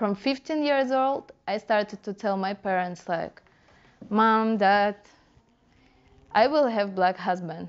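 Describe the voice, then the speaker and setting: A woman with a Russian accent talks very slowly, leaving long, frequent pauses. Her pitch is medium, with ordinary variation. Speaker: dancehall culture blogger. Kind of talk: casual interview.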